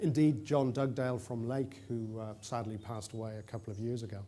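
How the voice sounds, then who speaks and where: Audible room echo surrounds a man speaking at a moderate pace in a dark, mellow tone. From Ireland, Dublin. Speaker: conference presenter. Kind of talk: conference presentation. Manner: hesitant with fillers.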